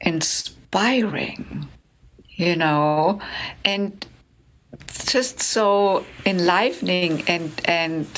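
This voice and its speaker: A woman speaks very slowly with a German accent, leaving long, frequent pauses. Her pitch sits fairly low. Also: ordinary pitch variation. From Germany. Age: 70s. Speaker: relationship coach. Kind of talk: interview.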